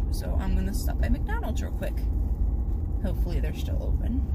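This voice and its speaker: Loud background noise surrounds a woman's voice, which sounds dry with no echo. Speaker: vlogger. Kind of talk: casual vlog chat. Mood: relaxed, chatty. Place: car. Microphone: phone near.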